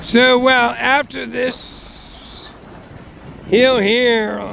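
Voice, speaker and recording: A man at a very slow pace, with noticeable background noise. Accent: American. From Boston area, Massachusetts. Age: 60s. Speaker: railfan. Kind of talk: casual narration while filming trains. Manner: hesitant, many fillers.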